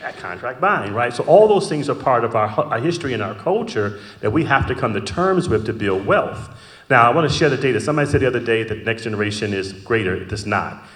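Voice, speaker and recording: Over audible room echo, a speaker with an American accent talks at a very fast pace with lively intonation. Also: man, medium pitch for a man. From US Midwest, Detroit. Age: 60s. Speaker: panelist, corporate finance professional. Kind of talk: panel discussion.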